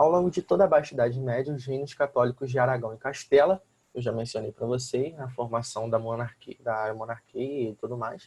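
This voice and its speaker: A man talks at a fairly quick pace with hardly any pauses. His medium-pitched voice is somewhat breathy, with ordinary pitch variation. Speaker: school teacher. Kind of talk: lecture.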